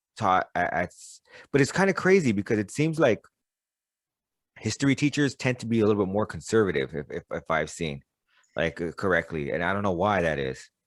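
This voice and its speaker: With very wide pitch swings and vocal fry, the voice comes through in a dry, close sound with no echo, in a very clean recording over a silent background. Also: man. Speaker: podcast co-host. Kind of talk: casual chat. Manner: halting, repeats words.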